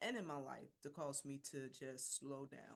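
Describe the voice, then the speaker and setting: In a Philadelphia accent, a woman speaks at a moderate pace with a very deep, low pitch. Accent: Philadelphia American English. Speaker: women's business mentor, founder. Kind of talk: personal testimony in interview.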